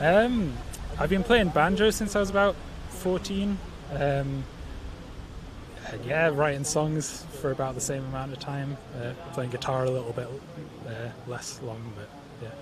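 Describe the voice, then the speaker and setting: A man with a Geordie accent, fairly high in pitch with lively intonation, at a fairly slow pace with long, frequent pauses, amid audible room echo and noticeable background noise. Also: big swings in loudness. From northeast England, Newcastle. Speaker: banjo player and songwriter. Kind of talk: interview. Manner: halting.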